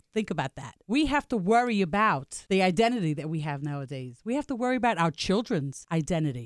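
Very fast and with very wide pitch swings, a woman speaks at medium pitch. The sound is dry and close, with no echo, on a very clean recording with a silent background. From Staten Island, New York. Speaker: entrepreneur. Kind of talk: business pitch. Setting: radio studio.

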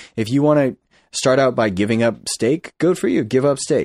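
A man speaks with an American accent. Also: dry, close sound with no echo. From Massachusetts, US. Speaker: airline pilot. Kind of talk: casual chat. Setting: studio.

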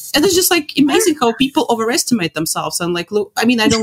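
Amid noticeable background noise, a woman talks at a very fast pace with very wide pitch swings. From Latvia. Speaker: opera singer. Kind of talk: casual interview. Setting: video call.

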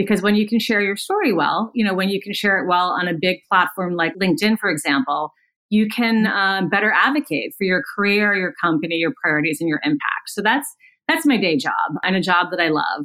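Using a normal speaking voice, a woman talks at a fairly quick pace and medium pitch with lively intonation. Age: 50s. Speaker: podcast host and communications consultant. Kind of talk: casual interview. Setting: remote call.

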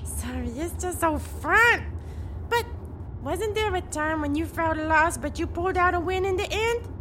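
Someone performs a put-on character voice at a moderate pace against clear background noise. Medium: audio drama. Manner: bubbly, upbeat.

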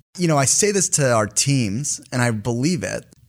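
In an American accent, a man with an ordinary speaking voice speaks at a moderate pace, his medium pitch carried by lively intonation. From US. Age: 30s. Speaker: company CEO. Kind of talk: interview.

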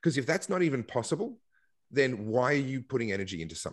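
The speaker has an Australian accent and lively intonation. The background is quiet. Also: man. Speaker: political activist and commentator. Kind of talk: casual interview.

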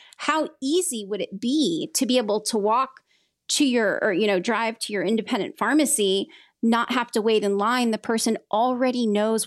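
She has an unremarkable speaking voice and an American accent. The woman keeps a moderate pace with ordinary pitch variation. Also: very clean recording, silent background. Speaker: pharmacy advocate. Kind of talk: casual interview conversation.

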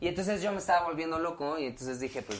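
A man is speaking. He talks at a very fast pace. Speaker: pop band member. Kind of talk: casual chat.

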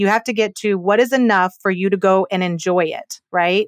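A woman with an ordinary speaking voice talks at a moderate pace with ordinary pitch variation, recorded very cleanly against a silent background with a dry, close sound and no echo. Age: 40s. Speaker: business valuation expert and mediator. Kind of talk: interview conversation.

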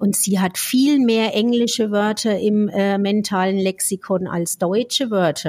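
In an unremarkable speaking voice, a woman of medium pitch talks at a fairly slow pace with hardly any pauses, fairly even intonation and very even loudness. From Franconia, Germany. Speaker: speech therapist podcast co-host. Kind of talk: casual chat.

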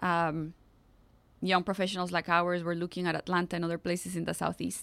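A woman speaks with a Spanish accent at a fairly low pitch. The recording is very clean, with a silent background. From Costa Rica. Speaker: nonprofit executive director. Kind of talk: interview.

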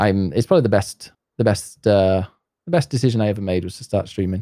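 A man with a fairly low voice and ordinary pitch variation speaks in a dark, mellow tone, recorded dry and close with no echo, very clean, over a silent background. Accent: Yorkshire. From northern England, near Leeds and York. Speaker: streamer and English teacher. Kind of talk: casual chat.

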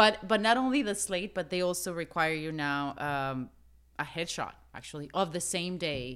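Lively intonation marks this woman's fairly low voice and her Spanish accent. She keeps a moderate pace on a very clean recording with a silent background. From Mexico. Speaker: actress. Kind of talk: casual chat.

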